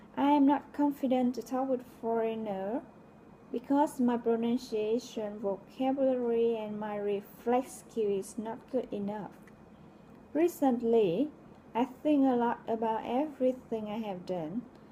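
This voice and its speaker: A woman with a Vietnamese accent speaks at a fairly slow pace in a fairly high pitch, with ordinary pitch variation. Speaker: logistics coordinator, English learner. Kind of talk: reading aloud a personal essay.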